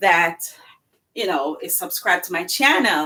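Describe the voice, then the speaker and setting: A woman's bright, sharp tone at a fairly slow pace. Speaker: cooking channel host. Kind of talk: live cooking demonstration. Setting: home kitchen, live stream. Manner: casual, chatty.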